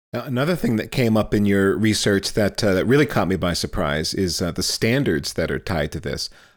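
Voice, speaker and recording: On a very clean recording with a silent background, a man with a plain, everyday voice talks at a fairly quick pace, his pitch fairly low and his intonation lively. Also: hardly any pauses. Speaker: podcast host. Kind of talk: podcast interview.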